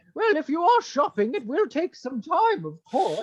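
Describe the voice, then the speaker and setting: A put-on character voice rides high in pitch with very wide pitch swings and a theatrical tone. The pace stays moderate. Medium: actual play. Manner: gushing, theatrical, refined.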